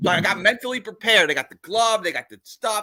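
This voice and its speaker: A man's raised, projected voice, high in pitch, bright and sharp in tone, with an American accent and a fairly quick pace, on a very clean recording with a silent background. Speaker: podcast host. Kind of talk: casual chat. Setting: live stream.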